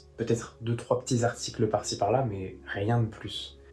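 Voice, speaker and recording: A man at a fairly slow pace with fairly even intonation, music in the background. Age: 20s. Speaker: aspiring journalist and YouTuber. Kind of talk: vlog diary. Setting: room while travelling.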